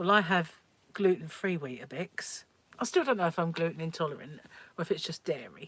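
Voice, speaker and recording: The woman speaks with a British accent at a fairly quick pace. Her pitch sits fairly low, with ordinary variation. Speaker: livestream host, crochet and craft channel owner. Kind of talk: casual livestream chat.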